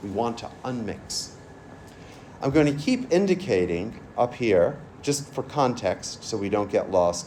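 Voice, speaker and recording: A man's medium-pitched voice at a fairly slow pace, with very wide pitch swings and audible room echo. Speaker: forensic DNA scientist. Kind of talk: lecture.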